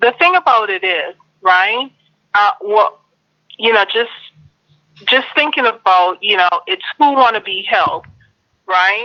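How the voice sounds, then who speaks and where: This woman has a fairly high pitch and lively intonation. She talks at a fairly slow pace with long, frequent pauses. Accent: Jamaican. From Jamaica. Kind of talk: group discussion. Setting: online live stream.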